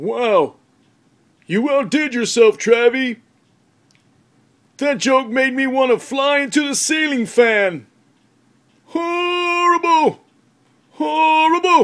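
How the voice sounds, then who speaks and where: A man speaks in a cartoonish character voice at an extremely high pitch, very slowly, with long, frequent pauses. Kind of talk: comedy sketch. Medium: puppet.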